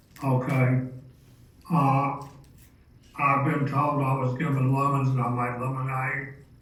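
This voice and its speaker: A man speaks at a medium pitch in a monotone, flat intonation, at a fairly slow pace with long, frequent pauses. Noticeable background noise and audible room echo fill the recording. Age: 70s. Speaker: mental health speaker. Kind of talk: personal testimony talk.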